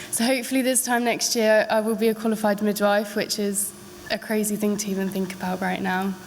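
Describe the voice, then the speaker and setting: Over noticeable background noise, a woman speaks in a monotone with flat intonation. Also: medium pitch for a woman. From Devon, England. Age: 20s. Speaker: midwifery student. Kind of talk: public talk to an audience.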